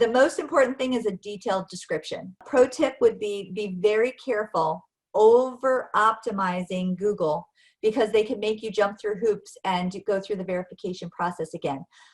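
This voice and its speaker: A woman's plain, everyday voice at medium pitch and a moderate pace, with ordinary pitch variation, on a very clean recording with a silent background. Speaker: marketing director presenting a webinar. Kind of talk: presentation.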